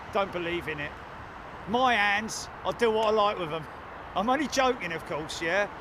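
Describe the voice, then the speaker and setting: Speaking in a raised, projected voice at a moderate pace, a man with a high pitch and ordinary pitch variation leaves long, frequent pauses against noticeable background noise. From London. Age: 60s. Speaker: live stream host, planespotting commentator. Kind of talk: live commentary. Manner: casual, animated.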